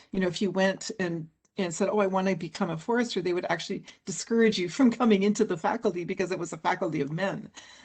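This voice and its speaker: Hardly pausing at all, a somewhat breathy woman talks at a very fast pace with a medium pitch and ordinary pitch variation. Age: 60s. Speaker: forest scientist and author. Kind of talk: panel interview.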